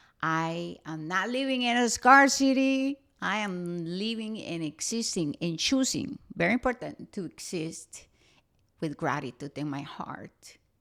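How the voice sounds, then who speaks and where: A woman with a strong Costa Rican accent speaks at a fairly slow pace in a medium pitch, her voice swinging very widely in pitch on a very clean recording with a silent background. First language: Spanish. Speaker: spiritual podcast host. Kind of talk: podcast monologue.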